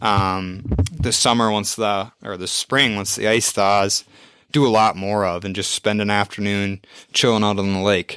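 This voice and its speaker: On a very clean recording with a silent background and a dry, close sound with no echo, a man with an American accent speaks at a fairly slow pace with a fairly low pitch, a bright, sharp tone, and fairly even intonation. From Minnesota. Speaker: podcast co-host. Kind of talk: casual chat. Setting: home studio.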